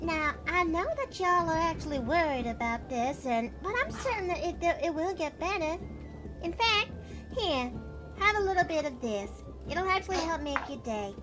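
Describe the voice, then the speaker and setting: Over loud background music, a female-sounding voice does a put-on character voice at an extremely high pitch and a moderate pace. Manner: warm, sweet.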